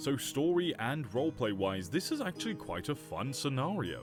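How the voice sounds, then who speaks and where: Music plays in the background as a man speaks at a moderate pace. His medium-pitched voice moves in very wide pitch swings. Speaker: reddit story narrator. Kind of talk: casual commentary to camera.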